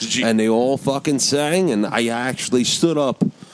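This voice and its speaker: A man speaks at a moderate pace in a relaxed tone with lively intonation, and there is noticeable background noise. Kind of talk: casual banter, crude and joking. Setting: studio. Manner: relaxed, rambling, jokey.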